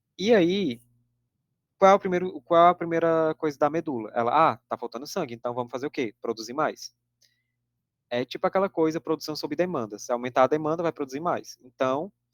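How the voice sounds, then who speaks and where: A man speaks at a fairly quick pace in a fairly high voice. His pitch varies in an ordinary way, and the sound is dry and close with no echo. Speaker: teaching assistant tutor. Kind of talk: lecture. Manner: fast.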